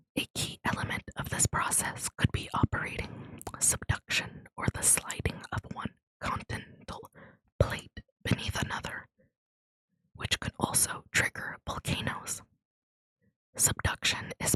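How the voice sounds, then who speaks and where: Someone whispers in a soothing tone at a fairly slow pace, leaving long, frequent pauses. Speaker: ASMR content creator. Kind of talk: educational narration reading space facts. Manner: whispered, soothing.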